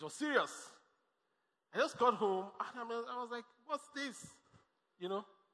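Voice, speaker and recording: A man's extremely high-pitched, raised and projected voice, animated in tone, with lively intonation, big swings in loudness and long, frequent pauses. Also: moderate pace. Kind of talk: sermon. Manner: animated, exhortative call-and-response preaching; punchy, repetitive, rising in intensity.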